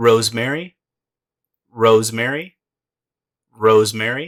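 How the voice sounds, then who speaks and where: Speaking at a fairly slow pace, a man uses an unremarkable speaking voice at medium pitch with ordinary pitch variation. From United States. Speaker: English pronunciation teacher. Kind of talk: English vocabulary lesson, repeated word drills.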